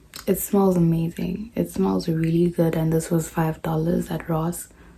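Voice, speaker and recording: Fairly low in pitch, a woman speaks at a fairly slow pace with fairly even intonation. Noticeable background noise is present. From South Africa. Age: young. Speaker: au pair. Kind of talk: casual haul vlog to camera.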